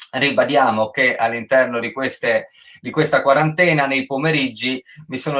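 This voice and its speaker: The speaker is a man with a medium pitch. His pitch shows ordinary variation. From Friuli, northeast Italy. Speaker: online show host. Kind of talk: casual interview chat. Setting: livestream on Instagram and Facebook.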